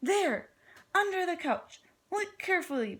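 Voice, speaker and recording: A woman's squeaky, put-on character voice, extremely high in pitch, at a moderate pace. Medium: read story. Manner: prim, fussy.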